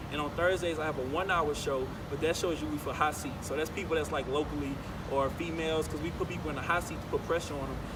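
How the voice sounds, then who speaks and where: Over noticeable background noise, a man with an American accent and fairly high pitch speaks at a very fast pace, in a monotone, flat intonation with hardly any pauses. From New Orleans, Louisiana. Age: 20s. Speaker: college radio host and MC. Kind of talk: interview answer. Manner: casual, laid-back.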